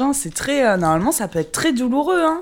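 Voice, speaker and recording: Her pitch swings very widely as this woman speaks. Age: 20s. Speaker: roommate being interviewed. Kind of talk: casual chat. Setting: apartment at home.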